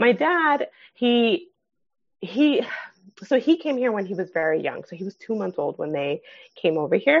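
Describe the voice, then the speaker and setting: With long, frequent pauses, a high-pitched woman speaks at a moderate pace with very wide pitch swings. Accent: Californian. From San Fernando Valley, California. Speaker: clinical social worker. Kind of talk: casual interview. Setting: at home with sleeping baby.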